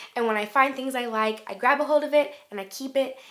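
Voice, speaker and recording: A woman speaks at a moderate pace. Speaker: ukulele and music YouTuber. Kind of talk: casual Q&A talk to camera.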